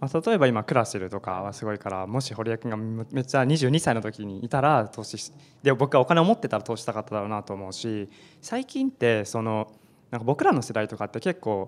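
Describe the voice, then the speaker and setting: A man in a normal speaking voice talks at a fairly quick pace, with medium pitch and ordinary pitch variation. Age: 20s. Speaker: startup founder; panelist. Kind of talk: panel discussion. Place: classroom. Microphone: handheld.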